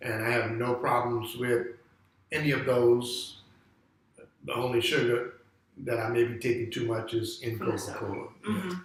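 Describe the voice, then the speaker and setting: The pace is moderate, broken by long, frequent pauses. Intonation stays fairly even over noticeable background noise. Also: man, medium pitch for a man. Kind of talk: interview answer. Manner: hesitant, conversational.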